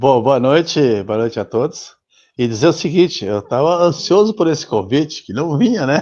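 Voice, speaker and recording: The man has a dark, mellow tone with a fairly high pitch. He speaks at a moderate pace, and his pitch swings very widely. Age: 70s. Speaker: former footballer. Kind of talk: interview.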